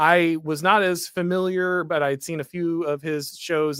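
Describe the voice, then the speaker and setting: A man with an American accent has a bright, sharp tone and fairly even intonation, heard in a dry, close sound with no echo. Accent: slight Southern drawl on certain phrases. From US South. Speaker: political commentator, show host. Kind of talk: livestream talk show, reading super chats. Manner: halting, many fillers and restarts.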